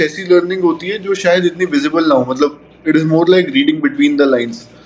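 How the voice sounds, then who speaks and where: Pitch varies in an ordinary way in a normal speaking voice. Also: man. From Lucknow, northern India (mixed factory campuses). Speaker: podcaster. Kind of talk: casual interview chat.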